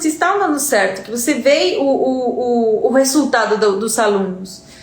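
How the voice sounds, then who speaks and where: A woman's high-pitched voice with lively intonation, plus audible room echo and noticeable background noise. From Uruguay. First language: Spanish (speaking Portuguese). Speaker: Spanish teacher. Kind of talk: live stream talk. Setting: live stream.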